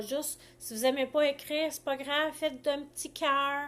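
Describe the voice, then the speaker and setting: A woman speaks with a Quebec accent. The background is quiet. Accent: Québécois French. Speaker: life coach. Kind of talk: live stream talk. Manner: halting.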